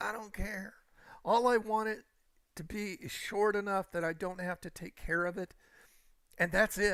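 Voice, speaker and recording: Speaking at a fairly slow pace in a raised, projected voice, a man with a high pitch and a bright, sharp tone is captured on a very clean recording with a silent background. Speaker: gaming live streamer. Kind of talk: casual chat. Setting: live stream on camera. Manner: energetic when on camera.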